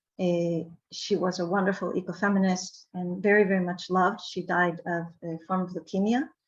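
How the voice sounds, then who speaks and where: A woman with medium pitch talks at a moderate pace with hardly any pauses. Her voice is somewhat breathy, with monotone, flat intonation. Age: 60s. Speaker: academic conference panelist. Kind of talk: conference presentation. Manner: hesitant with fillers.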